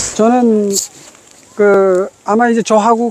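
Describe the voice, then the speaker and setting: Over noticeable background noise, a man talks in an extremely high pitch with fairly even intonation. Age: 70s. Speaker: ski instructor. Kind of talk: lesson.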